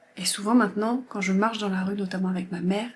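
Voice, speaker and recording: A woman at medium pitch speaks over noticeable background noise. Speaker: lifestyle vlogger. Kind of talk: casual chat.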